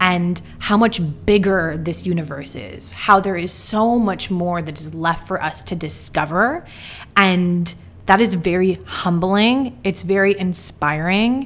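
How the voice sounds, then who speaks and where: The delivery is very slow, with big swings in loudness. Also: woman, fairly low pitch for a woman, ordinary pitch variation. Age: 20s. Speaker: podcast host. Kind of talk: solo reflective monologue.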